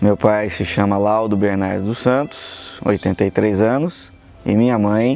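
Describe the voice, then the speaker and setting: Music plays in the background as a man talks. His pitch is fairly low and his pace fairly slow. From São Paulo state interior, Brazil. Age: 50s. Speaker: engineer and poet. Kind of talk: interview testimony.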